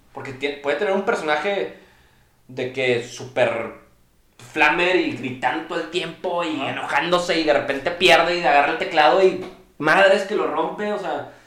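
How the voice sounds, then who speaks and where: A man with a Mexican accent, high pitch, ordinary pitch variation and moderate pace, amid noticeable background noise and audible room echo. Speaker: streamer. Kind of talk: casual chat.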